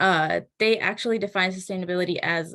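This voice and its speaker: Her pitch is medium. The woman talks at a fairly quick pace. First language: not English. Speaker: keynote speaker. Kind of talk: keynote speech. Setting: online event with chat.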